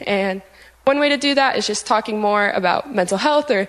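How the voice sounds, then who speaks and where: Using a normal speaking voice with an American accent, a woman talks at a fairly quick pace and fairly high pitch, with ordinary pitch variation. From Cincinnati, Ohio. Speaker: church ministry intern. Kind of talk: testimony.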